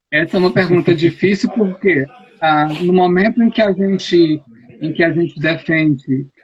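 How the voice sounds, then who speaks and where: The speaker is a man with a high voice. His pitch shifts in an ordinary way. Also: moderate pace. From Brazil, Ceará. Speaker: youth ministry adviser. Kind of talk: interview on live stream. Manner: animated.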